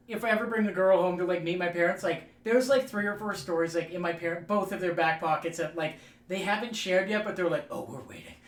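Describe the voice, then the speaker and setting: Speaking at a very fast pace with hardly any pauses, a man with a high pitch is heard against noticeable background noise. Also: ordinary pitch variation. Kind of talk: casual chat.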